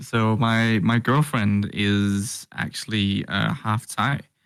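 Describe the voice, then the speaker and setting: Speech in a Danish accent comes at a very slow pace with hardly any pauses. The recording is very clean, with a silent background. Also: man. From Denmark. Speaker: vtuber. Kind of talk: interview.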